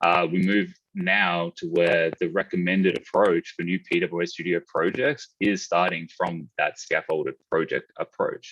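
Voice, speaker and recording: Recorded with a dry, close sound and no echo, a man with an Australian accent speaks at a fairly slow pace with hardly any pauses. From Australia, Melbourne. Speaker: conference speaker, e-commerce developer. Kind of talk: technical conference talk.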